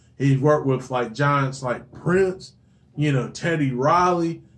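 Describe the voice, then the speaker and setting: With a fairly high pitch and a somewhat breathy quality, a man talks at a fairly slow pace with ordinary pitch variation. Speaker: podcast co-host. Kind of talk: casual chat.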